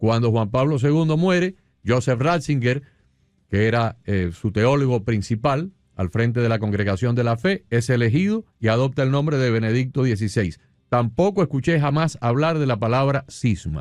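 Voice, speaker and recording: A man's medium-pitched voice at a moderate pace, lively in intonation and very even in loudness, with music in the background. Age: 60s. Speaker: radio host. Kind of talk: radio interview.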